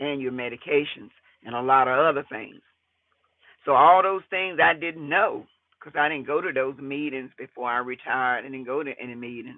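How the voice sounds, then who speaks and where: Speaking in a normal speaking voice at a moderate pace, a man uses a fairly high pitch with ordinary pitch variation and big swings in loudness. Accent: American. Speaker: retiree vlogger and landlord. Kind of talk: casual vlog monologue.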